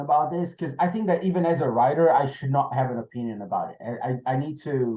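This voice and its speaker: A man's dark, mellow, somewhat breathy voice, with a Portuguese accent and ordinary pitch variation. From Brazil. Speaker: novelist. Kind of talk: interview. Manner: halting, repeats words.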